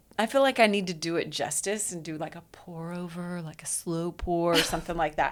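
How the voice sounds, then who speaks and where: The delivery is animated and fairly quick, with hardly any pauses, ordinary pitch variation and big swings in loudness. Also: woman, fairly low pitch for a woman. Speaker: podcast co-host. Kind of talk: casual chat. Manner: fast.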